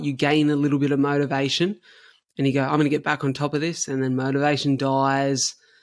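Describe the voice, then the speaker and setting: In an Australian accent, a man talks very fast in a fairly high, monotone voice with flat intonation, on a very clean recording with a silent background. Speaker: cystic fibrosis patient and endurance runner. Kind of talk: interview conversation.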